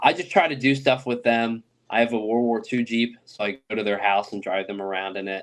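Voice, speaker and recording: Talking at a fairly quick pace, a man with an American accent has an unremarkable speaking voice at medium pitch with ordinary pitch variation. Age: 20s. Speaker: oral historian interviewing war veterans. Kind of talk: podcast interview. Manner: casual, filler-heavy.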